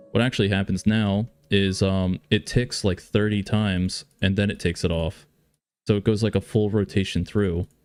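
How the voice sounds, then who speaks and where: In a very clean recording with a silent background, a man speaks at a moderate pace in a flat monotone, his pitch fairly low, the sound dry and close with no echo. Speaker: game developer streamer. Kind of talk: live coding stream. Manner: casual, swears.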